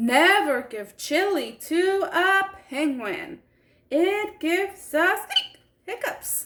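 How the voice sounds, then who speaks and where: A woman speaks in a put-on character voice with an extremely high pitch. Her pace is very slow. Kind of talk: children's story time. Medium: read story. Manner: chatty, expressive.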